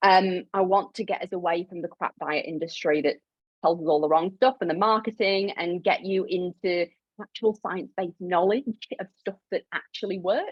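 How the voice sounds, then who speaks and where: A woman with a Yorkshire accent, at a moderate pace with ordinary pitch variation. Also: medium pitch for a woman. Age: 30s. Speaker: clinical nutritionist. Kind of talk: live webinar presentation. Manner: casual, animated.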